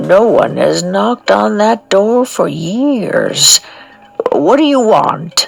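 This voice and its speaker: A woman's gravelly, put-on character voice at a very slow pace. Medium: read story. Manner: gruff, grumpy.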